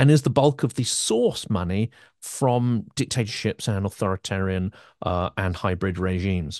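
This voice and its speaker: A man with a British accent and a fairly low pitch, ordinary pitch variation at a moderate pace, a dry, close sound with no echo and a quiet background. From Britain. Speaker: podcast host. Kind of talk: interview.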